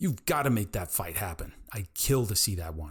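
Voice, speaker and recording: A growling, put-on character voice moves along at a moderate pace. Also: man. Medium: read story.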